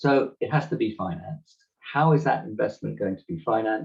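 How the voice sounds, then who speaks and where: Speaking at a moderate pace with a British accent, a man uses a medium pitch touched with vocal fry. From Britain. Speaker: climate economist panelist. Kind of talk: webinar presentation.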